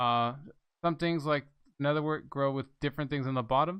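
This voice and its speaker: Against a quiet background, a man mumbles with ordinary pitch variation. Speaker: gaming video creator. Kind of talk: gameplay commentary. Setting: home recording desk. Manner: soft-spoken; mumbling.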